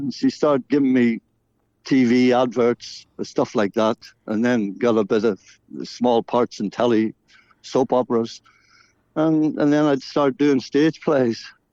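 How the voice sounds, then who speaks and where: With a Northern Irish accent, this man speaks in a dark, mellow tone with fairly even intonation and very even loudness, leaving long, frequent pauses over a quiet background in a dry, close sound with no echo. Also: medium pitch for a man. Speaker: singer-songwriter and actor. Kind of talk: radio interview. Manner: halting.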